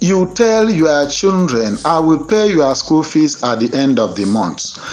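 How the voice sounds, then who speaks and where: In a Nigerian accent, the speech comes at a fairly slow pace with noticeable background noise. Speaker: online commentator on grant news. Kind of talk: angry monologue. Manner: impassioned, preacher-like.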